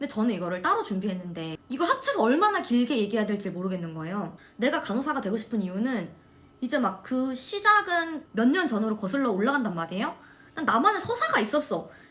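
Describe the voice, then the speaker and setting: A woman with a fairly high pitch speaks at a very fast pace in an animated tone, her pitch swinging very widely. Noticeable background noise is present. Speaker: nursing student vlogger. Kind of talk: casual chat.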